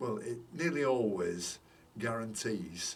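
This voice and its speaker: Speaking very slowly, a man with a fairly low pitch uses lively intonation. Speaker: orchid grower. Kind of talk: casual talk to camera. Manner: mumbly.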